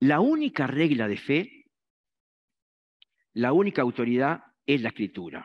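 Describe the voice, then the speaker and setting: A man speaks at a fairly slow pace with lively intonation. He leaves long, frequent pauses. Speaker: preacher. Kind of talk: sermon. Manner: halting, many fillers.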